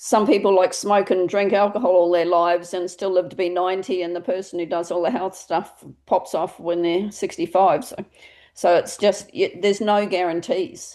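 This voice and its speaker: With a dark, mellow tone and fairly even intonation, a woman speaks at a medium pitch and a moderate pace. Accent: Australian. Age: 60s. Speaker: directory founder and interviewer. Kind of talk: casual interview chat.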